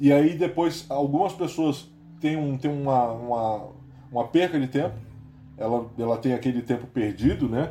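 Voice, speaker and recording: Music plays in the background. Over it, a man with a fairly high pitch talks at a moderate pace. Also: ordinary pitch variation. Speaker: podcast host. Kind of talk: casual chat. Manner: animated.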